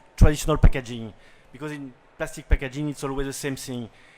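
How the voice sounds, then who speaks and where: A man speaks with a French accent. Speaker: company owner and CEO. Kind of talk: product pitch. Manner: halting.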